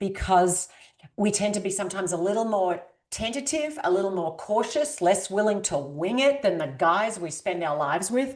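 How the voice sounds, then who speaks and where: A woman with an Australian accent talks with lively intonation. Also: medium pitch for a woman, moderate pace. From rural Australia. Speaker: author and executive coach. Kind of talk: podcast interview.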